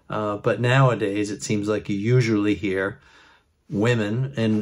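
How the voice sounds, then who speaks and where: Against a quiet background, a man with a fairly low voice speaks at a moderate pace in a relaxed tone with ordinary pitch variation. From Maine, USA. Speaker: regional dialect explainer. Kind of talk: casual educational talk to camera. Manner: relaxed, conversational. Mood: warm, wry humor. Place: open country. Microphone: phone near.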